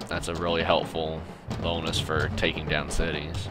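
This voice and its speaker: Behind the speech, music plays. The man talking moves at a fairly quick pace. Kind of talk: casual game tutorial narration. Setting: low-quality home microphone. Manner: occasional stuttering.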